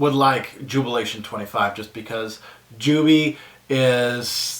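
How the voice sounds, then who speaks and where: A man with a Quebec accent speaks with fairly even intonation. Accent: French Canadian accent in English. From French Canada, small town bordering Quebec. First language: French. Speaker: fragrance reviewer YouTuber. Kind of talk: casual Q&A vlog. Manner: hesitant, many fillers.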